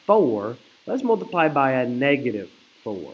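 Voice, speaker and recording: A man speaks at a moderate pace with fairly high pitch. His pitch swings very widely. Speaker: math teacher. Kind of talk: recorded video lesson. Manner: casual, conversational.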